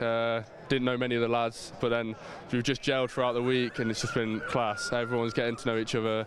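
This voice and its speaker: A man talks at a medium pitch while noticeable background noise carries on around him. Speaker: university rugby player. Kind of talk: post-match interview.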